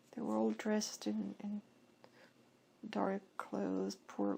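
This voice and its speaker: A woman's whispering at a very slow pace. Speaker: hypnosis session client. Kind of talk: hypnosis session answers. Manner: whispered.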